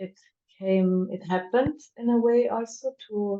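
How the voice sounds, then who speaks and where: Speaking at a fairly slow pace, a woman uses a fairly high pitch with ordinary pitch variation and a German accent. Her tone is dark and mellow. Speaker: poet and performance artist. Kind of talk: interview. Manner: hesitant, many fillers.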